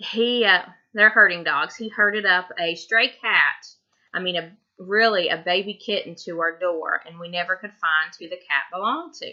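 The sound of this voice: A woman with a Tennessee accent speaks at a fairly low pitch in a bright, sharp tone. Her pace is moderate and her pitch variation ordinary. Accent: Southern US, Tennessee.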